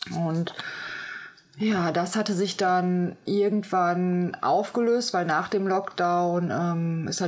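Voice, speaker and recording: At a very slow pace, a woman talks with a fairly low pitch and fairly even intonation. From Germany. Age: 30s. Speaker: medicine woman and sound healer. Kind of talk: interview, casual chat. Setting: inside a cave. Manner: hesitant, many fillers.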